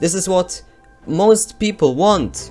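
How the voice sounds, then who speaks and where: A voice with a non-native accent, music in the background. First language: not English. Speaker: gaming YouTuber. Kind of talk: opinion rant to camera.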